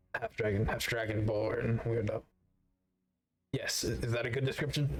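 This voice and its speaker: In a raspy put-on character voice, a man keeps to a medium pitch, fairly even intonation, very even loudness and a moderate pace. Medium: actual play. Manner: halting, rambling.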